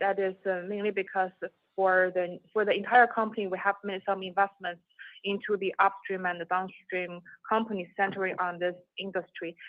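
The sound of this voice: At a moderate pace, a woman speaks at medium pitch with little pitch movement, in a dry, close sound with no echo.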